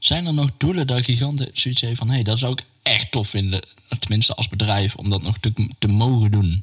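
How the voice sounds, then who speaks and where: A man speaks in a normal speaking voice at a moderate pace. His pitch is medium, with ordinary pitch variation. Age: 50s. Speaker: stage crew podcast host. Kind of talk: casual chat.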